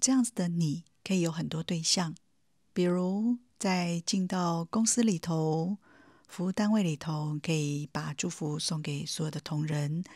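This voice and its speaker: A woman's fairly low, somewhat breathy voice in a calm, gentle tone, fairly slow, with ordinary pitch variation, in a very clean recording with a silent background. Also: dry, close sound with no echo. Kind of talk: guided meditation. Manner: calm, gentle, warm, addressing the listener directly as 你.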